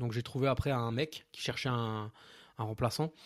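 A man talks fairly quickly, his intonation fairly even, on a very clean recording with a silent background. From Alsace, France. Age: 30s. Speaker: nurse and property investor. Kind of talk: interview. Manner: casual, hesitant with fillers.

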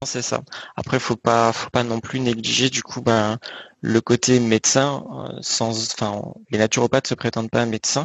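In a medium pitch, a man talks with monotone, flat intonation. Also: moderate pace. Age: 20s. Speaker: naturopath. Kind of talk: interview. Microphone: bad connection at times.

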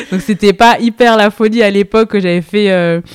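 Recorded with a dry, close sound and no echo, a woman speaks at medium pitch with ordinary pitch variation. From Île-de-France, Seine-et-Marne. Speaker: entrepreneur, brand co-founder. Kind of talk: casual interview chat. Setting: in person at her workshop. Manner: hesitant, many fillers.

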